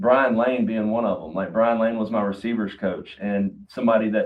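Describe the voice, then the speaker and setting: Here a man talks with a South Carolina accent. His pitch is medium and his pace moderate. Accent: Southern, South Carolina. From US South, Duncan, South Carolina. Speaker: college football head coach. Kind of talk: podcast interview. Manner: animated.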